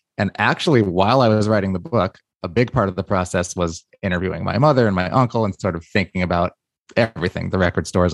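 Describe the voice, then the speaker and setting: A man with an American accent talks at a very fast pace in a very deep, low pitch. The sound is dry and close with no echo, against a quiet background. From New York. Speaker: author and music industry figure. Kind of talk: interview, with a reading from his memoir.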